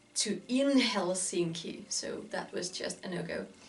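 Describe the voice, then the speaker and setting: A woman talks at a fairly slow pace and a fairly low pitch. Audible room echo surrounds her voice. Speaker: fashion vlogger. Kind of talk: casual vlog monologue. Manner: chatty.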